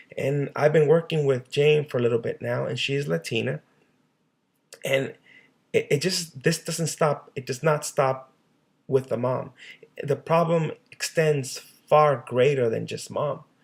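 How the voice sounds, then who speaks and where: A man speaks with a fairly high pitch and a somewhat breathy voice. His intonation stays fairly even. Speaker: social worker. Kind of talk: presentation. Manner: halting.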